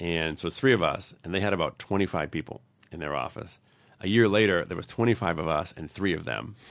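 A man with a very deep, low pitch talks at a very fast pace with an American accent. His intonation is lively and his voice has vocal fry. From US New England. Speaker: tech company founder and CEO. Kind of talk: podcast interview.

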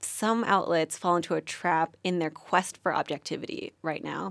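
A woman with an American accent talks at a moderate pace in an unremarkable speaking voice, medium in pitch with ordinary variation. The recording is very clean, with a silent background. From New York, US. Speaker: journalism student. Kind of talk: casual interview.

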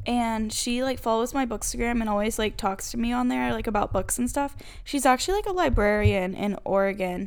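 A woman talks at a fairly quick pace with hardly any pauses, using a fairly high pitch and ordinary pitch variation. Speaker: book podcast co-host. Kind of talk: casual chat. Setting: video call. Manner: loud.

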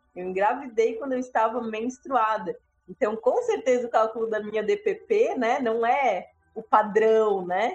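Someone talks at a fairly slow pace in a normal speaking voice, with ordinary pitch variation. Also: woman, fairly high pitch for a woman. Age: 30s. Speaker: doula. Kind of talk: interview about her birth story.

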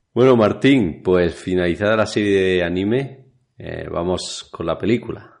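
The background is kept quiet. A man's fairly low voice has ordinary pitch variation. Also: fairly slow pace. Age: 40s. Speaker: podcast co-host. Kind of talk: casual chat.

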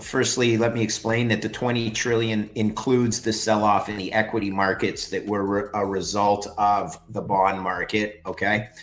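A man with a Canadian accent talks at a fairly slow pace, with hardly any pauses, in a fairly low voice. His intonation stays fairly even over noticeable background noise. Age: 50s. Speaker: finance expert. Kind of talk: interview.

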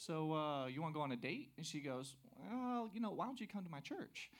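At a fairly quick pace, a man with an American accent speaks with fairly high pitch and very wide pitch swings. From US South, South Carolina. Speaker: church member. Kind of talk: testimony. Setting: church with congregation. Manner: energetic.

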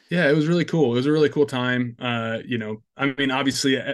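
A man with an American accent has an unremarkable speaking voice and fairly even intonation, heard against a quiet background. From US Midwest, northwest Iowa. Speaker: metal band guitarist and producer. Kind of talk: casual interview chat.

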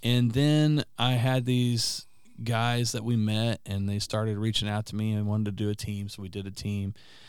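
On a very clean recording with a silent background, a man with a fairly low pitch uses fairly even intonation in an ordinary speaking voice. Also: moderate pace. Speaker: podcast guest and friend of host. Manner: fluent, rarely stumbles.

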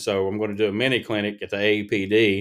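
This man speaks in an Appalachian accent at a moderate pace, his pitch fairly low. The recording is very clean, with a silent background. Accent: Appalachian Kentucky. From Appalachian eastern Kentucky. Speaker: pediatric dentist. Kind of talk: casual interview.

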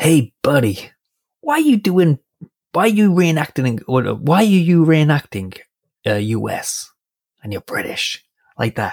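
Using a put-on, gruff character voice with an American accent, the speaker moves at a moderate pace with very wide pitch swings and long, frequent pauses. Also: man, fairly high pitch for a man. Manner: gruff, blunt.

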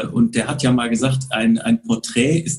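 Somewhat breathy, a man at medium pitch speaks at a moderate pace with lively intonation. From Bonn area, Rhineland, western Germany. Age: 40s. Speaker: photographer. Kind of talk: casual interview. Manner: hesitant with frequent fillers.

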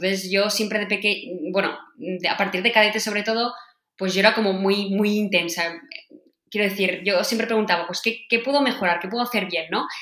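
A woman speaks at medium pitch and a fairly quick pace. Audible room echo surrounds her voice. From Catalonia, Spain (Sant Joan, Vallès). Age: 20s. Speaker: field hockey player. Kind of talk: interview. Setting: remote call from home office.

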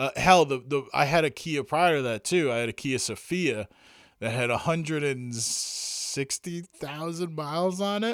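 The recording is very clean, with a silent background. A man speaks fairly slowly at a fairly high pitch, his intonation lively. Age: 40s. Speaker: solo podcast host. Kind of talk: casual solo monologue. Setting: home recording with vintage microphone. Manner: frequent fillers and hesitations.

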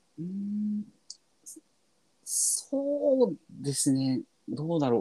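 A man's voice carries a dark, mellow tone and very wide pitch swings. The sound is dry and close, with no echo. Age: 30s. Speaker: gamer and Twitter Spaces host. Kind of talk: casual chat.

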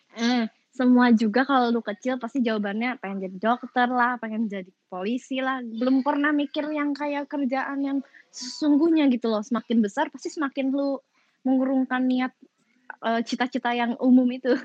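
A woman speaks at a moderate pace with a high-pitched voice. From West Java (Sundanese region), Indonesia. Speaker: podcast guest, former entertainer and gamer. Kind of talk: casual chat. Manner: talkative, lively.

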